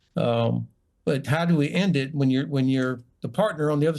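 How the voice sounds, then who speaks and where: With a North Florida accent, a man talks at a very fast pace with fairly even intonation. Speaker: retired army general. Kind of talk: TV panel debate.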